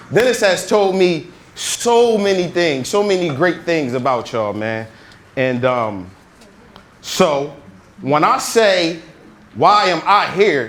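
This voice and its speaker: A loud man with a high pitch speaks very slowly, his voice making very wide pitch swings. Long, frequent pauses break up his speech, and room echo is audible. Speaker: motivational speaker. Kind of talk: motivational talk. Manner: energetic.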